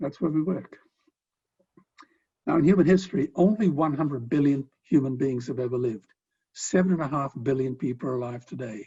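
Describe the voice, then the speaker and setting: A somewhat breathy man's voice, fairly high in pitch, with an Australian accent. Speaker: philanthropist and animal rights speaker. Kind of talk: speech.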